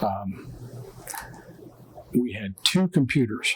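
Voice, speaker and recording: This man has a medium pitch and a West Virginia accent. The sound is dry and close, with no echo. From Jefferson County, West Virginia. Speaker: museum historian. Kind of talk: interview answer.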